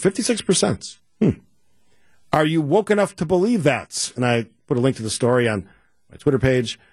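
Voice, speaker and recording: Over a quiet background, a man with an Upper Midwest accent speaks at a fairly high pitch in an animated, somewhat breathy tone, his pitch swinging very widely. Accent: Upper Midwest American. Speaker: radio talk show host. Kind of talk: radio talk show. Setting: studio.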